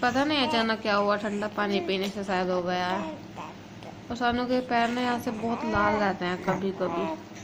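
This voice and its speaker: A woman's medium-pitched voice with ordinary pitch variation at a fairly slow pace, amid audible room echo and noticeable background noise. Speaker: family vlogger. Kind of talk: casual vlog.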